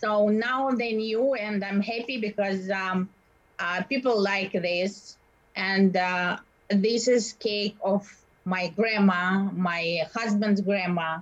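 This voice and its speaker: A woman's very slow, somewhat breathy voice at a medium pitch, in a Russian accent, with fairly even intonation. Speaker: baker and bakery owner. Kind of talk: interview. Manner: halting.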